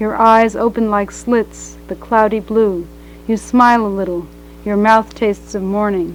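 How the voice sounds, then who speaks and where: With music playing behind her, a woman speaks in a fairly high pitch with an American accent. Her tone is dramatic, yet her intonation stays flat and monotone. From New York. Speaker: poet. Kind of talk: poetry reading. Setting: live reading before an audience. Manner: balanced, neither dramatic nor monotonous.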